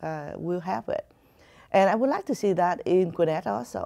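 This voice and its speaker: A woman with a Vietnamese accent talks at a moderate pace in a dark, mellow tone. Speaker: community advocate. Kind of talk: interview. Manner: halting.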